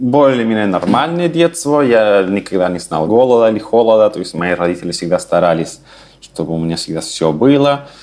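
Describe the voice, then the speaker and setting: The speaker has a Spanish accent and a moderate pace. Pitch swings very widely. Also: man. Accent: Spanish accent in Russian. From Chile, Santiago. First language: Spanish (speaking Russian). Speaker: immigrant and language teacher. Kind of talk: interview.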